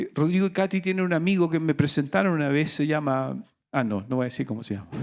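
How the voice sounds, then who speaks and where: Very fast and lively in intonation, a man speaks at a fairly high pitch on a very clean recording with a silent background. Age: 60s. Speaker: pastor. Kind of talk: sermon.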